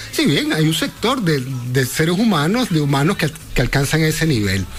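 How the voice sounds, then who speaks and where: Over music in the background, a man with a fairly high voice speaks at a moderate pace, his pitch swinging very widely while his loudness stays very even. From Nicaragua. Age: 60s. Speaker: radio interview guest, social commentator. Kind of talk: radio interview, political discussion.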